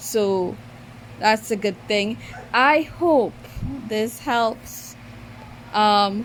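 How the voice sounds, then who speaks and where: A woman with a Trinidadian accent speaks at a fairly high pitch, her intonation lively. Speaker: mobile game YouTuber. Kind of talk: gaming tutorial. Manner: halting, with many fillers; careful, trying to speak clearly.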